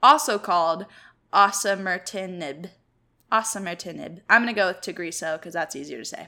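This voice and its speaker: This woman's voice has a bright, sharp tone with vocal fry and ordinary pitch variation. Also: medium pitch for a woman, moderate pace, big swings in loudness, very clean recording, silent background. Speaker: podcast co-host. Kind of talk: casual chat. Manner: sarcastic.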